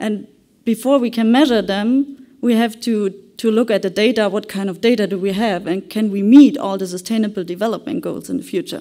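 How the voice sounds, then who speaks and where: A dark, mellow tone comes through against a quiet background. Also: woman. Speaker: conference presenter. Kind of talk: conference presentation. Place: hall.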